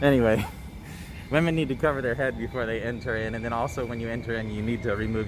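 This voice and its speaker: A man with a fairly low pitch talks at a very fast pace, with audible room echo and noticeable background noise. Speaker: travel vlogger. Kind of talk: tour guide narration. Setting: indoors in a mosque. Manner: halting.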